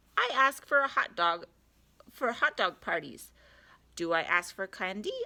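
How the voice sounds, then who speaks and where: In a very clean recording with a silent background, a woman performs a put-on character voice at a moderate pace. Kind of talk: read-aloud comic character voice. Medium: read story. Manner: whiny, dramatic.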